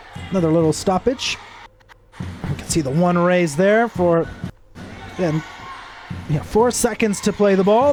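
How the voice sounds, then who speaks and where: A man's high voice at a fairly slow pace, with long, frequent pauses, ordinary pitch variation and noticeable background noise. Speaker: sports commentator. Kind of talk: live commentary.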